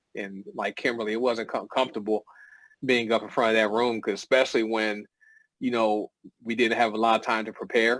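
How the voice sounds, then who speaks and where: A man talks at a fairly quick pace in a medium pitch, his intonation monotone and flat. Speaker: network marketing distributor. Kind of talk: casual chat. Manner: halting.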